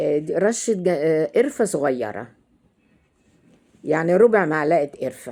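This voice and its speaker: The voice has a dark, mellow tone and lively intonation. It moves at a very slow pace. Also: woman. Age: 70s. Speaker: cooking channel host. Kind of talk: cooking tutorial. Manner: halting, frequent hesitations and self-corrections.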